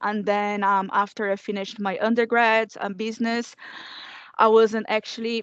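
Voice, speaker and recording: Monotone, flat female voice with a fairly high pitch. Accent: Portuguese. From Brazil. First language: Portuguese. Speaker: former student. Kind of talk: panel testimony.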